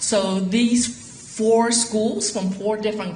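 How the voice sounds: A woman talks slowly with lively intonation, and the room echo is audible.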